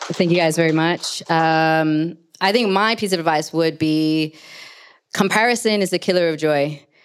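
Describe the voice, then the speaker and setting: At a moderate pace and very even loudness, a woman speaks in a plain, everyday voice, fairly low in pitch with ordinary pitch variation, on a very clean recording with a silent background. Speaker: panel moderator. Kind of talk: moderated panel. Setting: live panel with audience.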